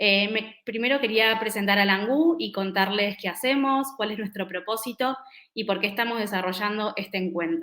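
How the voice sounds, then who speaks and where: The woman's voice sits fairly high in pitch, with ordinary pitch variation. She speaks at a moderate pace. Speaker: event moderator. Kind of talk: webinar presentation. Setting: online event.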